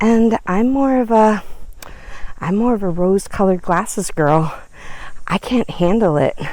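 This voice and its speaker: In an ordinary speaking voice, the words come at a fairly slow pace with ordinary pitch variation. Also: woman. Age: 50s. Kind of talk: casual walk-and-talk vlog.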